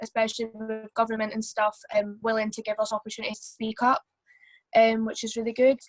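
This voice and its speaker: A woman's fairly high voice in a Scottish accent, fairly quick, dry and close with no echo, over music in the background. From Scotland, Perth/Angus. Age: young. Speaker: community member on panel. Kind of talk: panel discussion. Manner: hesitant.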